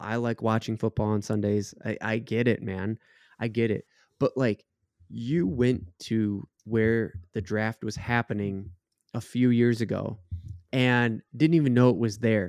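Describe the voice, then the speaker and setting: An American accent marks this man's unremarkable speaking voice, medium in pitch with ordinary pitch variation at a moderate pace. The sound is dry and close with no echo, and the background is quiet. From Minnesota. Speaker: podcast co-host. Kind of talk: casual chat.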